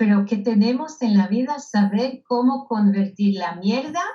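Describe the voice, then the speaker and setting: In a Hebrew accent, a woman speaks very slowly in a dark, mellow tone that is somewhat breathy. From Israel. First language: Hebrew (speaking Spanish). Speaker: speaker and author. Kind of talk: interview.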